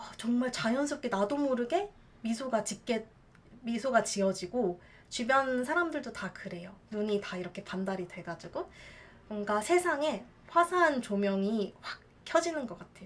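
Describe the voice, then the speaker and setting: At a moderate pace, the speech shows big swings in loudness over noticeable background noise. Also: woman, fairly high pitch for a woman. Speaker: hula dancer and teacher. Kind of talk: casual talk to camera.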